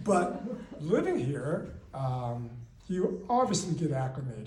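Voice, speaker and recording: A man's fairly high voice with very wide pitch swings at a very slow pace, with audible room echo and noticeable background noise. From Pittsburgh, US, from age eight; born in Taiwan. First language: Chinese. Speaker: amateur storyteller. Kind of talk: personal storytelling.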